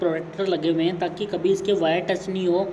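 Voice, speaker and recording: The speaker moves at a moderate pace, with light background noise behind. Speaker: product reviewer. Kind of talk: tutorial. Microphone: phone near.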